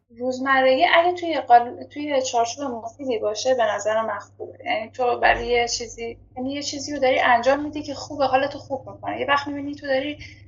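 Very fast speech with fairly even intonation, big swings in loudness and noticeable background noise. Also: woman, high pitch for a woman. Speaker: podcast guest. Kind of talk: casual chat. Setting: video call. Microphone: remote call recording, sounds different from studio.

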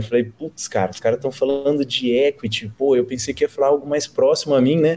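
The man's tone is dark and mellow. His voice sits fairly high. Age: 20s. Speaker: company director. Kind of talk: casual interview.

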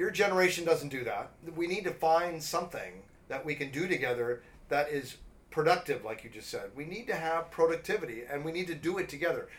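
A high-pitched man with an American accent, fairly quick pace and ordinary pitch variation, against noticeable background noise. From Los Angeles. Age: 50s. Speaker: podcast host. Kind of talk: casual chat.

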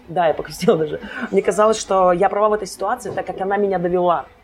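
Over noticeable background noise, a woman talks at a fairly quick pace. Her medium pitch shows ordinary variation. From Karelia, Russia (Kostomuksha). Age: 30s. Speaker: social media marketer. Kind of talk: casual interview. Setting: bar.

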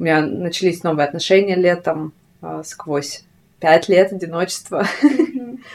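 Speaking fairly slowly, a woman uses a fairly low voice with lively intonation. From Siberia, Krasnoyarsk. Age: 30s. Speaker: fashion writer and spiritual practitioner. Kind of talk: casual interview. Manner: talkative.

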